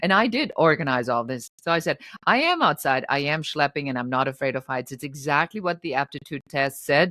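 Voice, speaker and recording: A woman with a German accent speaks at a very deep, low pitch in a bright, sharp tone, with ordinary pitch variation. She talks fairly quickly with hardly any pauses, and the sound is dry and close with no echo. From Germany. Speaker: entrepreneur. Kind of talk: interview. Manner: animated.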